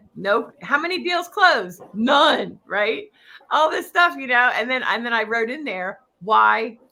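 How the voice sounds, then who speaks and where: A woman speaks at a fairly high pitch with vocal fry. Her pace is fairly slow. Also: very wide pitch swings. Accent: Philadelphia. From Philadelphia area, US. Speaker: real estate coach. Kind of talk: interview.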